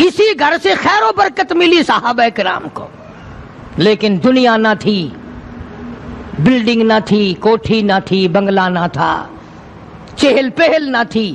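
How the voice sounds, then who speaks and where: A man's high-pitched voice with very wide pitch swings, over noticeable background noise. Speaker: Islamic preacher. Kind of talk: religious sermon.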